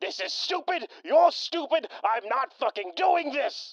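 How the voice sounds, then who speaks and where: A put-on character voice at high pitch. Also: fairly slow pace. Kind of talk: radio drama. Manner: angry, profane.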